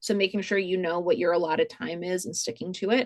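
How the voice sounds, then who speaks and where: This woman speaks at a medium pitch with a slight Rhode Island accent. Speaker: museum programming director. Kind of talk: webinar tutorial. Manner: loud; many fillers, casual.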